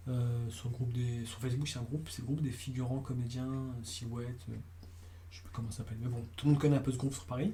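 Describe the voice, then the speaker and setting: Talking very fast with audible room echo, a man uses a medium-pitched, somewhat breathy voice with ordinary pitch variation and big swings in loudness. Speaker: casting director. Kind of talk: interview. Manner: halting.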